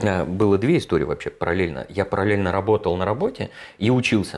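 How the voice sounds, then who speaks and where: A man with a fairly low pitch talks at a very fast pace in a very clean recording with a silent background. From Moscow, Russia. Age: 40s. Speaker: productivity trainer, ex-software developer. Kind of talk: casual interview chat.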